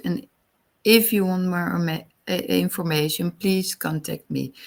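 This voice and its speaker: The speaker has a Dutch accent. The recording is very clean, with a silent background. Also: woman. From Netherlands. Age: 40s. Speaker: wellness coach. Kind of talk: podcast monologue. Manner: halting.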